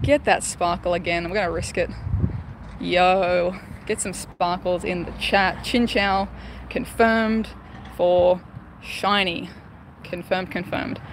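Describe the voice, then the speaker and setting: A woman talks at a fairly slow pace, leaving long, frequent pauses. The sound is dry with no echo, over light background noise. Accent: Australian. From Australia. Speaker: gaming streamer. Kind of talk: live stream chat. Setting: outdoors. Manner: animated.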